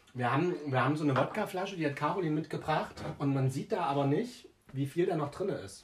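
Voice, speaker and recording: With noticeable background noise behind him, a man with a fairly high pitch speaks at a fairly quick pace, using lively intonation and very even loudness. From Germany, village near Jena (Thuringia). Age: 20s. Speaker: podcast co-host. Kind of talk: casual chat.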